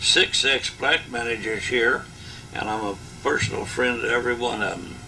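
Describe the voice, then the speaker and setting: A man talks at a moderate speed, and noticeable noise can be heard behind him. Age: 80s+. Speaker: retired union leader. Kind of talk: oral history interview. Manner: halting.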